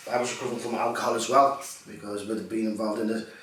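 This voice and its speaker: Recorded with audible room echo and noticeable background noise, a man speaks at a medium pitch in a Liverpool accent. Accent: Liverpool (Scouse). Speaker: actor and poet. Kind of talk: interview. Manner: hesitant, many fillers.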